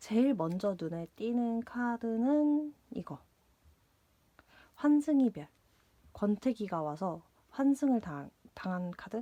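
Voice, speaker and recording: Her pitch swings very widely as this woman speaks in a dark, mellow tone. She talks at a very slow pace with long, frequent pauses, in a dry, close sound with no echo. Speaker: tarot reader. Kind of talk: tarot reading. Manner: hesitant, many fillers and repetitions.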